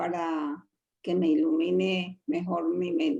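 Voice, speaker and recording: With a Colombian accent, a woman speaks at medium pitch and a very slow pace. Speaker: lay Bible teacher. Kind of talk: religious talk to a women's group. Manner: hesitant.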